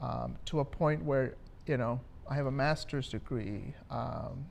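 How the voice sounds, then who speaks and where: A man with a Spanish accent talks at a moderate pace, his medium pitch showing ordinary variation. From Minnesota, Twin Cities (born in Mexico). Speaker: community advocate. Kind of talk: interview. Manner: hesitant, many fillers.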